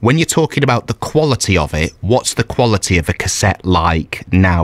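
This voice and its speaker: A man with a British accent at a fairly quick pace, dry sound with no echo over a quiet background. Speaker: breakfast radio presenter; radio presenter. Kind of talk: radio interview. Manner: jokey. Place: studio.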